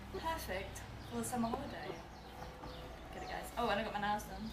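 A woman at a fairly quick pace against noticeable background noise. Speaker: fashion vlogger. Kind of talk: casual lookbook chat. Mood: cheerful, relaxed.

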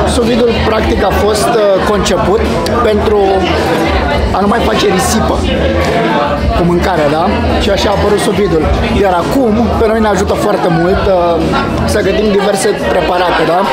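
A man at a moderate pace with long, frequent pauses, crowd noise in the background. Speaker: food reviewer. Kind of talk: casual vlog food review. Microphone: phone near.

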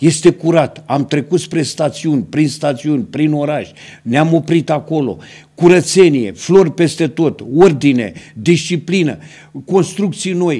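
Against a quiet background, a man speaks at a fairly slow pace in a dark, mellow tone. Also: ordinary pitch variation. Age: 70s. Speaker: local TV host. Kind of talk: TV interview. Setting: TV studio. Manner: formal. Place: studio. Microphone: studio mic.

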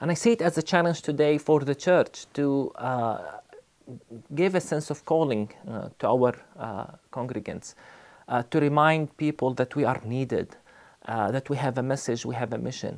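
A man with an Arabic accent, ordinary pitch variation and a fairly slow pace. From Palestine (Bethlehem); Palestine. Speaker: pastor and theology college dean. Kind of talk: recorded testimony to camera; interview answer. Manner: measured, with frequent fillers. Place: studio.

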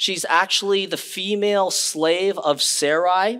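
High-pitched and bright, sharp in tone, a man talks with fairly even intonation in a quiet setting. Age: 40s. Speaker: pastor. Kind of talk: sermon. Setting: church. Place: church.

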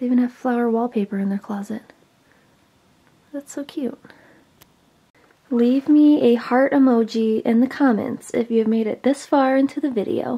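Long pauses come often, though the pace stays moderate. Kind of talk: casual vlog chat. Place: home room. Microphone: phone near.

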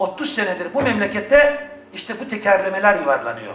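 A man speaks in a raised, projected voice at a fairly slow pace, his tone animated and angry. His intonation is lively, and noticeable background noise runs underneath. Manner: animated, loud, angry.

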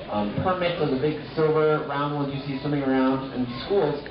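A man is speaking. Music plays in the background, and room echo is audible. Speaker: aquarium guide. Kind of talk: educational talk to visitors. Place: hall.

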